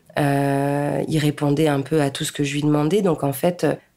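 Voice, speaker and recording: The woman speaks with a very deep, low pitch. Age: 30s. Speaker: podcaster. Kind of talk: interview.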